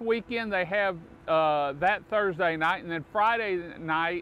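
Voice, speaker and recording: Over light background noise, a man talks at a moderate pace in a bright, sharp tone with ordinary pitch variation, the sound dry with no echo. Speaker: local show host promoting a restaurant. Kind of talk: promotional talk to camera. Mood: warm, enthusiastic. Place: waterside.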